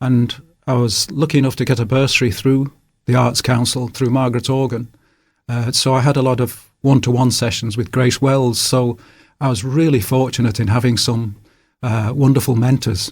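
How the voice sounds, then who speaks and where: With a strong Manchester accent, a man speaks in a somewhat breathy voice with fairly even intonation. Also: medium pitch for a man, moderate pace. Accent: Manchester accent, kept strong. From northern England, Salford, Manchester. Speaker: author. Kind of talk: radio interview. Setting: radio studio.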